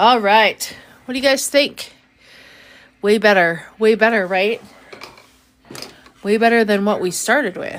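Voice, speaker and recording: A woman with a fairly high pitch talks at a fairly slow pace, with ordinary pitch variation and long, frequent pauses. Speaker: artist streaming live painting. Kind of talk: live stream art tutorial chat. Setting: live stream. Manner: soft-spoken.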